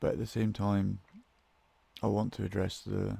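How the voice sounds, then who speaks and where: A man is speaking. He has a Scottish accent. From Scotland. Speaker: podcast host. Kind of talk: casual monologue. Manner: somber tone.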